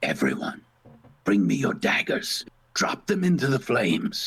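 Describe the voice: Using a put-on character voice, a man speaks in a raspy, hissing way at a medium pitch. His pace is moderate.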